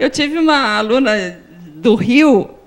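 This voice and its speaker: A woman talks at a high pitch with very wide pitch swings. Noticeable background noise is present. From Piracicaba region, São Paulo state, Brazil. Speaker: language consultant and TV segment presenter. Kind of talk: TV interview.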